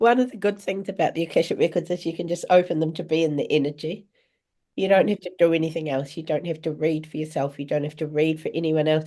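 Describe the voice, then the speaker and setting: A woman speaks at a fairly low pitch with a dark, mellow tone. Her intonation stays fairly even over a quiet background. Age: 60s. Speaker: spiritual teacher and reader. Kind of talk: live online Q&A. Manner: halting, with many false starts.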